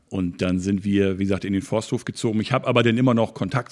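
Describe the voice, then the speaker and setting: An unremarkable speaking voice from a man, fairly low in pitch, fairly quick, fairly even in intonation, against a quiet background. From Schleswig-Holstein, near Hamburg (northern Germany). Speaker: travel agency owner. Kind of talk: interview.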